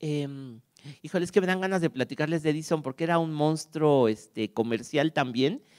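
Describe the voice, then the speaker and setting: A man talks at a moderate speed against a quiet background. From Mexico. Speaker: archive director and music scholar; conference speaker. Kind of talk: lecture. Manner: halting; warm.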